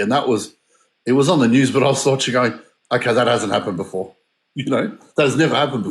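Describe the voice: A man with an Australian accent talks at a fast pace and a medium pitch with ordinary pitch variation, with audible room echo around him.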